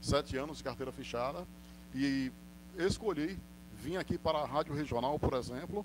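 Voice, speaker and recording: At a moderate pace, a man with a fairly high voice and ordinary pitch variation speaks with long, frequent pauses. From Northeast Brazil. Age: 40s. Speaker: radio announcer and sports commentator. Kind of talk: interview answer.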